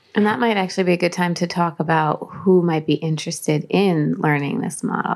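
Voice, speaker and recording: A woman talks at a fairly quick pace with a fairly low pitch and hardly any pauses. Noticeable background noise runs under her voice. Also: ordinary pitch variation. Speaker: life coach and hypnotherapist. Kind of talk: interview.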